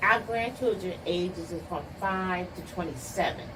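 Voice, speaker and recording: Audible room echo plus noticeable background noise. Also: woman. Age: 60s. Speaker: bookstore owner. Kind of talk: interview. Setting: bookstore.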